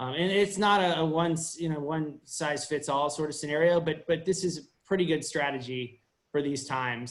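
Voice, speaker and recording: A man talks fairly fast, his fairly high pitch showing ordinary variation. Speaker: staff attorney. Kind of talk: presentation to a virtual town hall. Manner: halting, many fillers and restarts.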